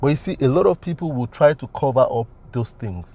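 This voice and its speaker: With a dark, mellow tone that is somewhat breathy, a man speaks using lively intonation. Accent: Nigerian. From Nigeria. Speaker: business consultant and coach. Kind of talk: motivational talk.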